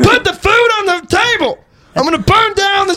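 At a moderate pace, someone does a put-on character voice with an extremely high pitch. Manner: shouting, threatening.

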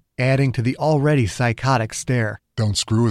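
The background stays quiet. What you hear is plain reading aloud.

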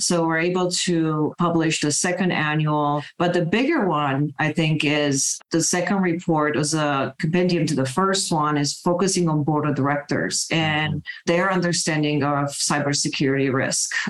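A woman with a Romanian accent and a very deep, low pitch speaks at a moderate pace with hardly any pauses, fairly even intonation and very even loudness. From Romania, Bucharest. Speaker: cybersecurity executive. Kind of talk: interview.

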